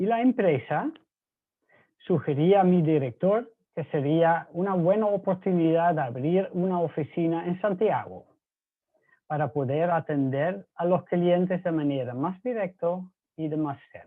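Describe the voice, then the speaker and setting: A man with a Dutch accent, high in pitch, fairly slow, with ordinary pitch variation. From Netherlands. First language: Dutch (speaking Spanish). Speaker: mining pump supplier, engineer. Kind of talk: presentation.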